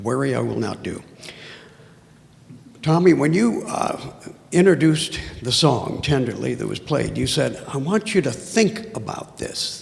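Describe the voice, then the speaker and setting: There is noticeable background noise as a man speaks. He goes at a fairly slow pace with long, frequent pauses. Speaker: audience member asking a question. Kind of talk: audience Q&A.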